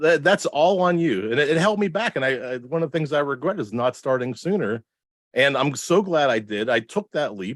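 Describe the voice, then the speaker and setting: A man with a Pittsburgh accent speaks at a fairly quick pace in a fairly high voice, his pitch swinging very widely, on a very clean recording with a dry, close sound, no echo and a silent background. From Pittsburgh, Pennsylvania, US. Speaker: marketing director and podcaster. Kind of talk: podcast interview. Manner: runs words together.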